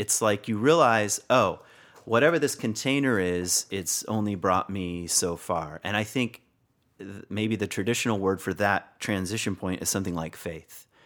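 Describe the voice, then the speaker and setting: In a very clean recording with a silent background, a man with an American accent and a normal speaking voice talks at a moderate pace, his pitch fairly low with ordinary variation. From Virginia, US. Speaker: spiritual teacher, author and former pastor. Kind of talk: interview conversation.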